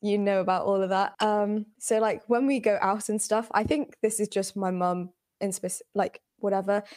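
Speaking at a moderate pace with a London accent, a woman at medium pitch keeps a monotone, flat intonation. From England, British Bengali household. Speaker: podcast guest. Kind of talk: casual chat.

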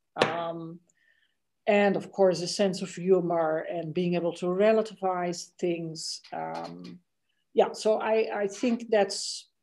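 In a Dutch accent, the voice has a dark, mellow tone and fairly even intonation at a very slow pace. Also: woman, fairly low pitch for a woman. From Netherlands (The Hague). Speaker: law and technology professor. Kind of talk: interview.

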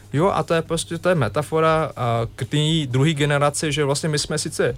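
A man talks at a moderate pace, fairly high in pitch, with a normal speaking voice. His intonation is fairly even. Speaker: NGO representative. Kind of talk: radio interview. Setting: radio studio.

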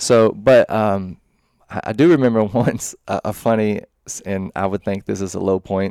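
Heard in a dry, close sound with no echo, a man in a Tennessee accent talks at a moderate pace with a fairly low pitch, a dark, mellow tone and ordinary pitch variation. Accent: Southern US (Tennessee). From Middle Tennessee, Murfreesboro. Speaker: real estate agent. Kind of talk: casual interview.

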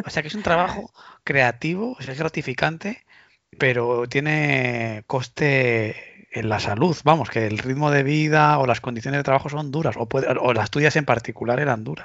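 A man with a Spanish accent speaks at a moderate pace, his pitch medium and its variation ordinary. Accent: Peninsular Spanish. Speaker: podcast host. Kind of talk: interview. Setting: remote call.

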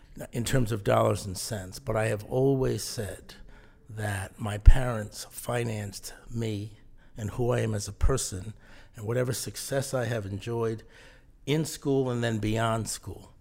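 A man with an American accent speaks at a fairly slow pace in a somewhat breathy, medium-pitched voice, his loudness swinging widely while his intonation stays fairly even. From southern New England (Mystic, Connecticut). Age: 60s. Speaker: leadership and management consultant. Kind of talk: interview.

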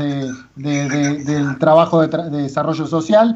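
This man has an unremarkable speaking voice at a fairly high pitch. He speaks at a fairly slow pace with fairly even intonation. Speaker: radio host. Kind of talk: radio interview.

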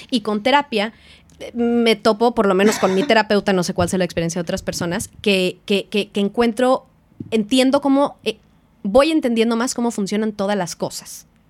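This woman speaks with a Mexican accent. Her pitch is fairly high. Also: ordinary pitch variation, moderate pace. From Mexico. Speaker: film producer. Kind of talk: casual chat.

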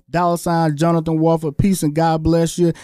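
A high-pitched man with a Southern US accent. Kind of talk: interview. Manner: fast talker.

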